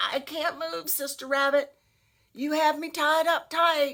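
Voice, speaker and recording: A woman puts on a growling, gruff character voice at a high pitch, speaking at a fairly slow pace with monotone, flat intonation. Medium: read story. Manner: snarling, gruff.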